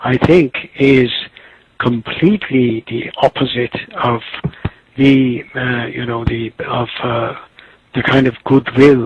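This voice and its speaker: With an Azerbaijani accent and a medium pitch, a man speaks at a very slow pace with fairly even intonation and long, frequent pauses. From Tabriz, Iranian Azerbaijan. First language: Azerbaijani Turkish. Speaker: writer and literary critic. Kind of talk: interview answer.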